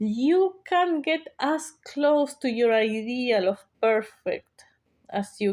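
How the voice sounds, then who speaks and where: A woman speaks with a non-native accent, her pitch swinging very widely. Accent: non-native English accent, clear. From South America. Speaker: YouTuber. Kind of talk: casual monologue vlog. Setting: sitting at home talking to camera. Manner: hesitant, many fillers.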